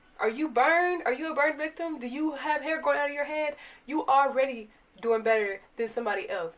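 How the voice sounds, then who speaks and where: A woman's high, animated voice at a very fast pace, with ordinary pitch variation. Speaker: YouTuber giving motivational talks. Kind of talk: motivational talk to camera.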